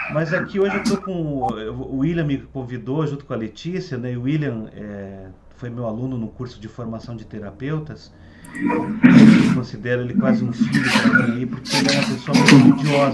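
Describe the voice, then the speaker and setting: Over noticeable background noise and audible room echo, a man of medium pitch speaks at a moderate pace, his pitch swinging very widely and his loudness swinging a lot. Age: 60s. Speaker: Ayurveda therapist and teacher. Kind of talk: online talk to students. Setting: video call. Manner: halting with repetitions.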